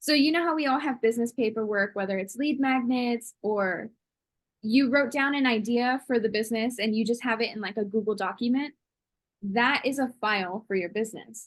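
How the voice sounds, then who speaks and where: The woman has an unremarkable speaking voice, fairly high in pitch, moving at a fairly quick pace with ordinary pitch variation. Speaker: online business systems expert. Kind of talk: casual interview.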